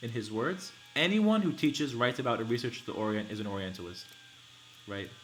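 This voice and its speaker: Over noticeable background noise, a man with a medium-pitched voice speaks in an animated tone. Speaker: livestreamer reading and discussing a book. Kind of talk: live-stream reading and commentary. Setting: live stream. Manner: fast.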